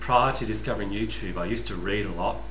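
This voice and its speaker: There is audible room echo and light background noise as a man speaks at a fairly quick pace. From Western Australia, rural (Northam). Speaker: YouTuber, customer service worker. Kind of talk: personal vlog monologue. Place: home room. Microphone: webcam.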